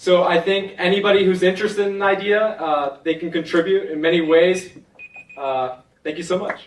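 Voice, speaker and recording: A loud man's voice, high-pitched, with fairly even intonation. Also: moderate pace. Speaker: hackathon participant pitching an idea. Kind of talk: idea pitch.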